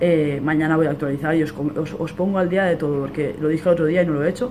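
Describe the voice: Against clear background noise, a man speaks fast at a fairly high pitch with fairly even intonation.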